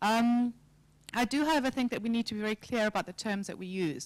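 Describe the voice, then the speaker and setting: A woman's very fast speech with ordinary pitch variation, on a very clean recording with a silent background. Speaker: civil society advocate, fishbowl debate participant. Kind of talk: panel debate.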